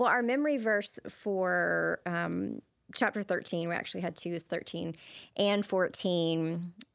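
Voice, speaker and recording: Recorded very cleanly against a silent background, a woman uses an ordinary speaking voice with a fairly low pitch and fairly even intonation. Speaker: church podcast co-host. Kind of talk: casual faith conversation.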